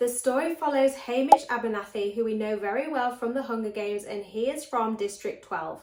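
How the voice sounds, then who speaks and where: With an English accent, a woman speaks at a fairly quick pace in a high pitch. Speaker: book vlogger. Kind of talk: casual vlog.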